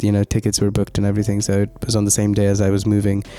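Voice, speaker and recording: Soft-spoken and fairly low-pitched, a man talks in a monotone with flat intonation and a dark, mellow tone. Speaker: student vlogger. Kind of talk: voiceover narration. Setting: recording at midnight in student room.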